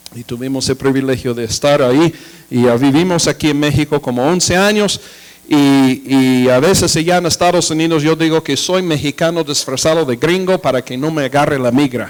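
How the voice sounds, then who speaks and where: At a moderate pace, a man with a fairly high pitch talks with ordinary pitch variation. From United States. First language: English (speaking Spanish). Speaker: pastor and missionary. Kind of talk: sermon. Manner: halting, with fillers.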